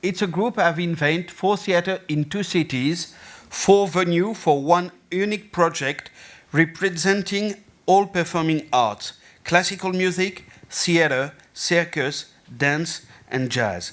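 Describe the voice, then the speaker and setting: A man with a French accent, high in pitch, at a fairly slow pace with ordinary pitch variation. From France. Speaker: festival and theatre director. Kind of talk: conference presentation. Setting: stage with audience. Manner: halting.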